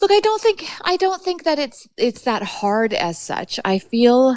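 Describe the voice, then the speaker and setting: Her pitch swinging very widely, a woman speaks with a western Canadian accent. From British Columbia, Canada. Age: 40s. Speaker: fly fishing guide and podcast host. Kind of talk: interview conversation. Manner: fast; animated.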